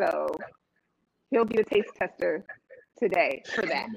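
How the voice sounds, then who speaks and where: The woman's voice has a bright, sharp tone. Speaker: chef and business owner. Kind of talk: live cooking show demo. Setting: online livestream.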